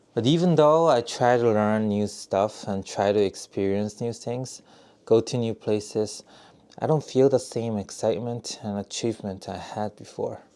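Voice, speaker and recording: A man with a fairly low pitch speaks at a fairly slow pace in a dark, mellow tone. The recording is very clean, with a silent background. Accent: Korean. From South Korea. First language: Korean. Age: 30s. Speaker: YouTuber, software engineer. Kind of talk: casual vlog monologue. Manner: halting, with fillers.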